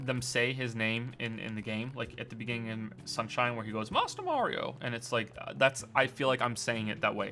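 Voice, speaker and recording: With music playing behind him, a man speaks with ordinary pitch variation. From Britain and Canada. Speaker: game streamer and critic. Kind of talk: casual chat. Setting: live stream. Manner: halting, frequent repetitions and fillers.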